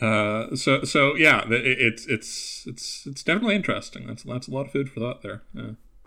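A man with a Canadian accent talks at a fairly quick pace and medium pitch, with vocal fry. His tone is bright and sharp, with big swings in loudness. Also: ordinary pitch variation. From Canada. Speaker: guest TV commentator. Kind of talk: casual podcast discussion of a TV show. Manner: hesitant, filler-heavy, repeats words.

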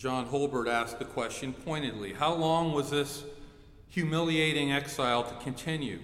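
A fairly high-pitched male voice at a moderate pace, with audible room echo. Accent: American. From Ohio. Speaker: pastor. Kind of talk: sermon. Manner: animated.

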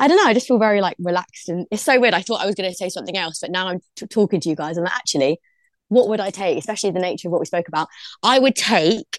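A woman with a South London accent talks at a very fast pace with ordinary pitch variation against a quiet background. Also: medium pitch for a woman, dry, close sound with no echo. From London, Brixton. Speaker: DJ. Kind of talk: casual interview.

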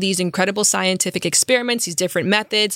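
A woman talks at a medium pitch with ordinary pitch variation in a plain, everyday voice. The recording is very clean, with a silent background. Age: 30s. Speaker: sex and relationships educator. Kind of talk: casual interview.

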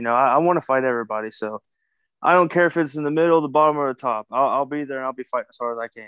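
Against a quiet background, a man with an American accent talks very fast. His pitch varies in an ordinary way. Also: dry, close sound with no echo. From Kentucky, US South. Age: 20s. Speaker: professional wrestler. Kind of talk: casual interview.

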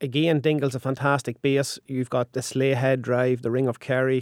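On a very clean recording with a silent background and a dry, close sound with no echo, a man with an Ulster accent speaks fairly quickly at a medium pitch with monotone, flat intonation. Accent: Irish, Ulster. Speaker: tour guide. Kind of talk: radio interview.

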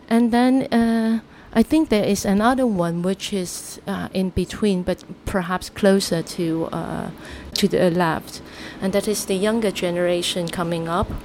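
Over noticeable background noise, a woman talks at a fairly slow pace with a medium pitch and ordinary pitch variation. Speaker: human rights activist. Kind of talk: interview.

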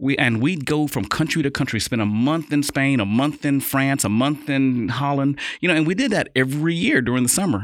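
In an unremarkable speaking voice, a man with an American accent and a fairly high pitch talks at a fairly quick pace with hardly any pauses and very even loudness. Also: ordinary pitch variation, very clean recording, silent background. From Kansas City, Missouri, and abroad. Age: 50s. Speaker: restaurant owner. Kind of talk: interview.

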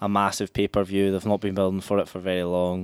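Speaking at a very fast pace, a man with a fairly low voice comes through on a very clean recording with a silent background. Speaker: podcast co-host. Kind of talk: casual chat. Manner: animated, laughing.

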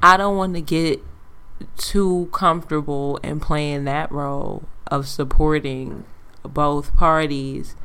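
A woman with a slight Caribbean accent speaks very slowly in a very deep, low voice, her loudness swinging widely and her intonation fairly even, with audible room echo. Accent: slight Caribbean hint. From Antiguan heritage. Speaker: podcast co-host. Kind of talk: casual chat.

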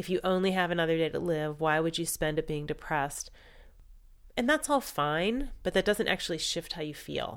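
Calm in tone, a woman with a fairly low pitch talks at a moderate pace with ordinary pitch variation. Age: 40s. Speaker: cancer patient sharing her story. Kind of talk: personal testimony.

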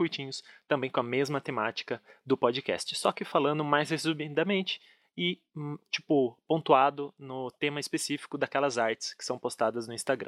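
With a normal speaking voice, a man talks at a moderate pace and with fairly even intonation in a dry, close sound with no echo. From Brazil, Curitiba. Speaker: podcast host. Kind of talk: casual chat.

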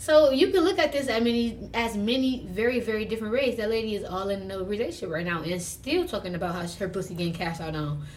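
A woman's fairly high voice at a very fast pace, with lively intonation and audible room echo. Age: 20s. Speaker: podcast guest. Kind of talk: casual chat.

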